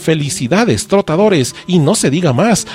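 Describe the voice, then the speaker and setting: This man keeps a moderate pace while noticeable background noise plays behind him. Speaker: podcast co-host. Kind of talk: casual chat.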